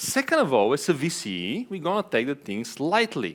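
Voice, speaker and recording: A man with an Eastern European accent and very wide pitch swings. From Bulgaria. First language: Bulgarian. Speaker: venture capital investor. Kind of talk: conference talk. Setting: stage with audience. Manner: hesitant, many fillers.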